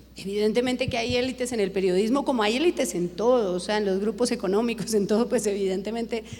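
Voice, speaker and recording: A woman at a fairly high pitch and fairly quick pace, with ordinary pitch variation, against noticeable background noise. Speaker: TV news director. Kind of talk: Q&A at a journalism conference.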